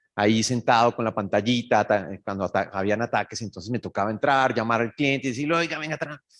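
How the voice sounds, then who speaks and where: The recording is very clean, with a silent background. A man at medium pitch talks at a very fast pace with ordinary pitch variation. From Colombia, Bogotá. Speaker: cybersecurity executive. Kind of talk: conference talk. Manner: animated.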